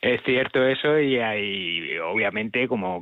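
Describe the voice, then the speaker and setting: The speaker is a man with lively intonation. He has a normal speaking voice at a medium pitch. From Spain, Castilla-La Mancha. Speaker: music journalist. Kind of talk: radio interview.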